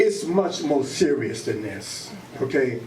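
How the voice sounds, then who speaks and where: Noticeable background noise is present as a man talks. Audible room echo follows his voice. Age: 60s. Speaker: formerly incarcerated advocate. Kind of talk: public talk at community meeting. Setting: public meeting with audience.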